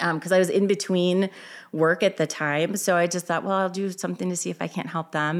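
A woman with a plain, everyday voice and an American accent, fairly quick and fairly even in intonation, in a very clean recording with a silent background. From Illinois. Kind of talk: interview. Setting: in her store.

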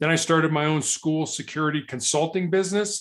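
A man with an American accent has an unremarkable speaking voice, moderate pace and ordinary pitch variation in a very clean recording with a silent background. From US Midwest, Chicago. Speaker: author and speaker. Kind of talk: interview.

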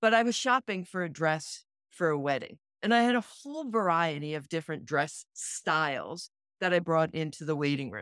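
In a plain, everyday voice, a woman with fairly low pitch speaks at a moderate pace and with lively intonation, recorded very cleanly against a silent background. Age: 60s. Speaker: podcast co-host, retreat facilitator. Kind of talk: casual chat.

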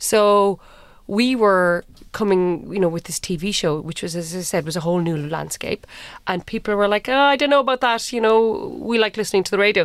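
With a Cork accent, a woman talks at a fairly quick pace. Her pitch varies in an ordinary way, and the recording is very clean with a silent background. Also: medium pitch for a woman. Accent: Cork Irish. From Ireland, Cork. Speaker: television producer. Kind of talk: interview conversation. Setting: studio.

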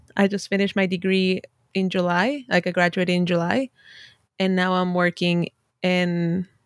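A woman with a Spanish accent speaks at a medium pitch, recorded dry and close with no echo on a very clean track with a silent background. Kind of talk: casual interview.

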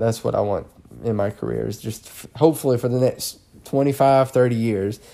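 A man with a Southern US accent speaks at a medium pitch in a dark, mellow tone with ordinary pitch variation, in a very clean recording with a silent background. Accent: Southern US drawl. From Alabama, US South. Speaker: police officer. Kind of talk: casual interview conversation.

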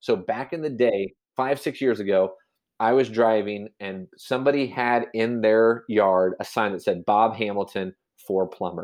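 This man has a Midwestern American accent and a medium-pitched voice. He talks at a moderate pace with ordinary pitch variation. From Kansas, US Midwest. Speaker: realtor. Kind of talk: casual interview chat.

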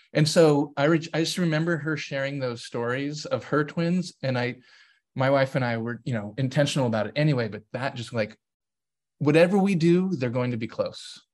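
A man with a plain, everyday voice, fairly high in pitch, at a fairly quick pace with ordinary pitch variation against a quiet background. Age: 40s. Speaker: DEI consultant and author. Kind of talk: interview conversation.

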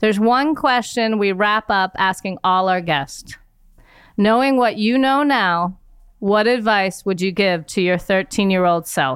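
In a plain, everyday voice, a woman of medium pitch speaks at a fairly slow pace with lively intonation and very even loudness on a very clean recording with a silent background. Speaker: podcast host and nonprofit CEO. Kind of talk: interview.

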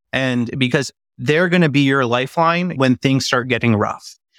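With an American accent and a plain, everyday voice, a man of medium pitch speaks at a moderate pace with fairly even intonation on a very clean recording with a silent background, dry and close with no echo. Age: young. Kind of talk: casual conversation.

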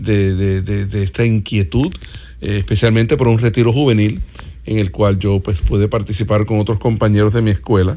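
A man's fairly low voice with ordinary pitch variation, set against noticeable background noise. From Puerto Rico and Miami. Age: 50s. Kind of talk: interview conversation. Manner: halting, repeats words.

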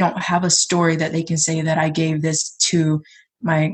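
A woman's fairly low, somewhat breathy voice in an American accent, fairly slow, with monotone, flat intonation. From US South, south Georgia. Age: 20s. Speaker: poet. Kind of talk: casual chat; poetry reading.

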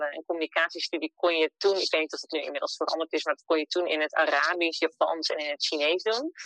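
The recording has a dry, close sound with no echo. A woman talks at a fairly quick pace. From Netherlands, Emmeloord (Noordoostpolder). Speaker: entrepreneur living abroad. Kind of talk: interview.

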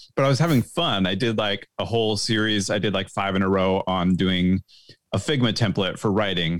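Using a normal speaking voice, a man talks at a fairly quick pace with fairly low pitch, ordinary pitch variation and very even loudness. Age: 40s. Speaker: guest, social media creator. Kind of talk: casual chat. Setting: video call.

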